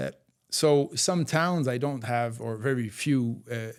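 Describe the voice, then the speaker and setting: A man with a French-Canadian accent and ordinary pitch variation, on a very clean recording with a silent background. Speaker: author and endurance athlete. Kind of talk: interview. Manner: halting, many fillers.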